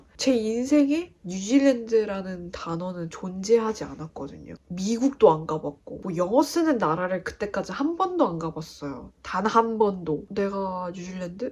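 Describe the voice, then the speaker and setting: A woman's pitch swings very wide while noticeable background noise carries on. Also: hardly any pauses, big swings in loudness. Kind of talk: casual talk to camera.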